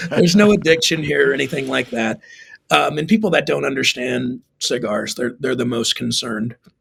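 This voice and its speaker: A man speaks with an American accent and vocal fry. His pace is moderate. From Texas. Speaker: pastor. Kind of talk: podcast interview. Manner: casual, repeats words often.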